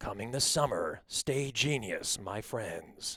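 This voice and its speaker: Using a put-on character voice, a man speaks at a fairly slow pace and medium pitch. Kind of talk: dramatic trailer voice. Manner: dramatic.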